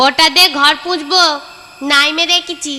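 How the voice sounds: A cartoonish character voice delivers its lines with fairly even intonation. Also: woman, extremely high pitch for a woman.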